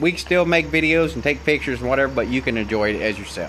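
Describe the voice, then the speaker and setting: Here is a man's voice. He speaks with an Appalachian accent. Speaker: DIY car mechanic vlogger. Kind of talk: casual workshop vlog. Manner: hesitant, many filler words.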